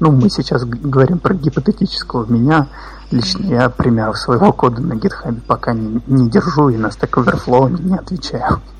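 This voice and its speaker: Amid noticeable background noise, a man talks at a moderate pace with lively intonation. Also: medium pitch for a man. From Russia, Kazan. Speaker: QA automation engineer, freelancer. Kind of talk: casual interview.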